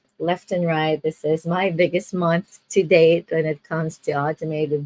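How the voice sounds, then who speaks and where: A woman's very deep, low voice at a moderate pace, dry and close with no echo. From Philippines. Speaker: online business coach. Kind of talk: casual livestream talk. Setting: livestream from home bedroom. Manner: chatty, with many fillers.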